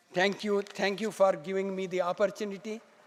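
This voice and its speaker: Crowd noise fills the background as a man speaks. His pitch is high, and his pace is moderate. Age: 70s. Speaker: doctor giving health talk. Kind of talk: conference talk.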